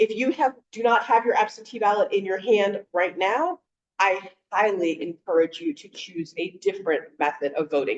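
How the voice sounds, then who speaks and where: Using a plain, everyday voice, a woman talks at a moderate pace and medium pitch with lively intonation. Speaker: voting rights advocate. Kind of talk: panel presentation. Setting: video call.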